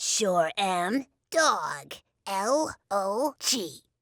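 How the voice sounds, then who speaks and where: A cartoonish, bubbly character voice, female-sounding, at a medium pitch. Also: very clean recording, silent background. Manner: bubbly, excitable.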